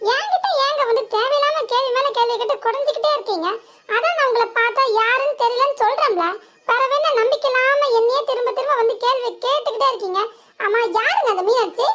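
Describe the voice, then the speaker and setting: A woman puts on a cartoonish character voice at an extremely high pitch, her loudness very even. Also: moderate pace. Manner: exasperated, blunt.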